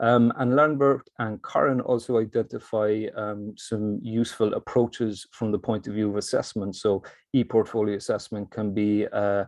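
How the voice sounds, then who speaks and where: With a Cork accent, a man talks at medium pitch with fairly even intonation and hardly any pauses against a quiet background. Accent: Cork Irish. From Ireland, Cork. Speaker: academic presenter in learning technology. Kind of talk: conference presentation. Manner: fast.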